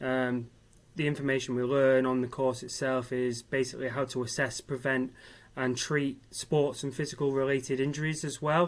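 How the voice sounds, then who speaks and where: The pace is moderate. The delivery stays monotone and flat. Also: man, medium pitch for a man. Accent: northern English. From Manchester, northern England. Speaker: mature university student. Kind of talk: interview. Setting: live online event. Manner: hesitant, many fillers.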